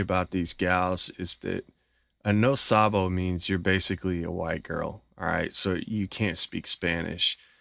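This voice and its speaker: In an American accent, the voice is bright and sharp, with ordinary pitch variation and a moderate pace, in a dry, close sound with no echo. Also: man. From United States. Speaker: dating commentator. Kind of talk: video reaction commentary. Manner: halting.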